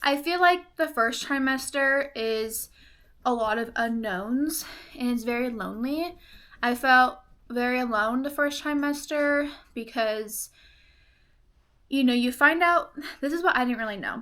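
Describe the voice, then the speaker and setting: A woman with a high pitch and a bright, sharp tone speaks at a fairly slow pace. Her pitch varies in an ordinary way, and she takes long, frequent pauses. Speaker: pregnant vlogger. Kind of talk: casual chat.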